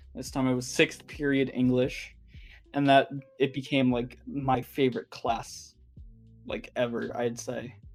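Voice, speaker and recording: A man at a fairly slow pace, monotone and flat in intonation, with music in the background. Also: medium pitch for a man. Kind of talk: casual podcast conversation.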